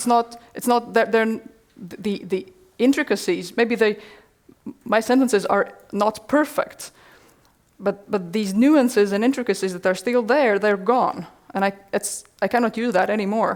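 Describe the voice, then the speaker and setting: A woman speaks at a moderate pace with ordinary pitch variation and long, frequent pauses, the background quiet. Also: fairly high pitch for a woman. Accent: Latvian. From Latvia. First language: Latvian. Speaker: workshop presenter; presenter. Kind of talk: answering audience question. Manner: halting, repeats words. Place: classroom. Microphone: headset.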